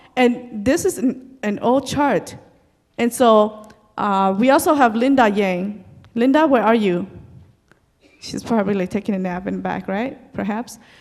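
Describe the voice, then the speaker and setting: This woman has an American accent and a fairly high pitch. She speaks at a fairly slow pace with long, frequent pauses. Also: ordinary pitch variation. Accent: Hmong American English. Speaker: community leader. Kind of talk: presentation.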